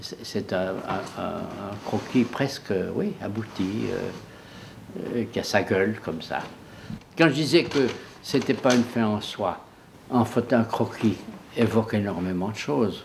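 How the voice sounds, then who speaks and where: At a very slow pace with long, frequent pauses, a man speaks in a fairly low pitch. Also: ordinary pitch variation. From Swiss Jura. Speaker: painter and engraver. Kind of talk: documentary interview talk. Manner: passionate, hesitant.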